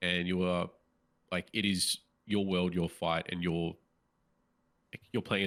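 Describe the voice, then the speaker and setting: Speaking with an Australian accent, a man with a very deep, low pitch keeps a monotone, flat intonation at a moderate pace on a very clean recording with a silent background. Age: 30s. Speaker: podcast co-host. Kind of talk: casual chat.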